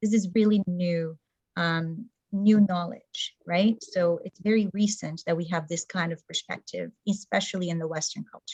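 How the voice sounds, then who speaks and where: A woman speaks in a Portuguese accent, somewhat breathy. The sound is dry and close, with no echo. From Brazil. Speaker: community organizer, former teacher. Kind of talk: presentation talk.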